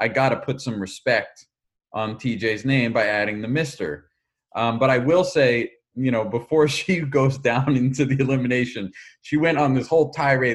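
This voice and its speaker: Using a normal speaking voice, a man with an American accent and medium pitch talks at a moderate pace. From Philadelphia. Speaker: podcast host. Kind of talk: casual chat.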